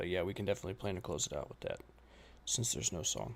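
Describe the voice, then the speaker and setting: A man with an American accent, very fast pace, lively intonation, vocal fry and fairly low pitch. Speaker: reaction streamer. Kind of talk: live stream reaction chat.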